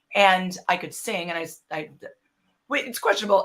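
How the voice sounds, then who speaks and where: A woman has an unremarkable speaking voice with an American accent. Her pitch sits at a medium level with ordinary variation. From US Midwest, Racine, Wisconsin. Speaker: actor. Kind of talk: interview, casual chat. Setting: live stream with chat.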